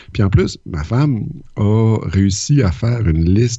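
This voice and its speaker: A man speaks with a Quebec accent. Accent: Québécois French. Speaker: podcast co-host. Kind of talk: casual chat.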